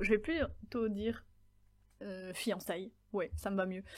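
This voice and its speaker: Somewhat breathy, a woman speaks with a medium pitch. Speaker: podcast host. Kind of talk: solo podcast monologue.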